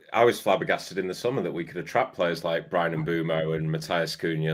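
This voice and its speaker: Someone speaks with an English accent and ordinary pitch variation in a very clean recording with a silent background. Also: man. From Salford, Greater Manchester. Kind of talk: casual chat.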